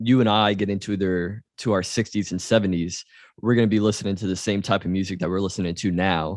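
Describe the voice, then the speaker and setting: A man with a Louisiana accent speaks at a fairly quick pace in a fairly low pitch. The sound is dry and close with no echo, over a quiet background. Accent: US Southern (Louisiana). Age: 30s. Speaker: podcast host. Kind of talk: casual interview.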